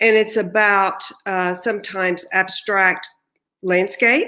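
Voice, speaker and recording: A fairly slow delivery with a slight Texan accent. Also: woman. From Texas. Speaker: artist, award recipient. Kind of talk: acceptance speech.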